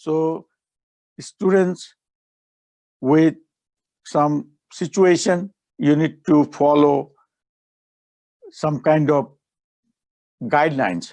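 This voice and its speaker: A fairly high-pitched man with a non-native accent and a dark, mellow tone, ordinary pitch variation, a very slow pace, and long, frequent pauses. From Bangladesh, Chittagong. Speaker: professor. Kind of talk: keynote lecture.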